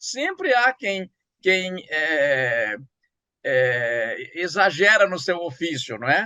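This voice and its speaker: In a dry, close sound with no echo, a man speaks at a high pitch with a bright, sharp tone. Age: 70s. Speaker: writer and professor. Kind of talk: interview. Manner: halting.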